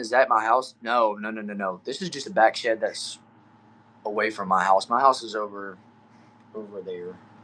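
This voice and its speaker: Over noticeable background noise, a man with a medium pitch talks at a moderate pace, his loudness swinging widely. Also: ordinary pitch variation. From Texas. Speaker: streamer. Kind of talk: live stream chat reading comments. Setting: back shed. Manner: casual, upbeat.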